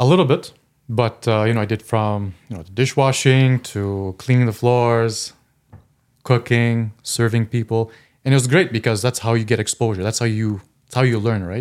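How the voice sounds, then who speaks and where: A man with an unremarkable speaking voice talks at medium pitch with ordinary pitch variation on a very clean recording with a silent background. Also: moderate pace. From Eastern Ontario, Canada. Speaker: accountant. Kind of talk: casual chat.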